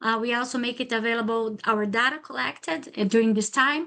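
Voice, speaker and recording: Fairly quick, high-pitched female speech. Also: quiet background. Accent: Brazilian Portuguese. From Brazil. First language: Portuguese. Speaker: PhD student presenter. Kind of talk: academic seminar talk. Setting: lunchtime seminar with audience. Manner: halting, many fillers.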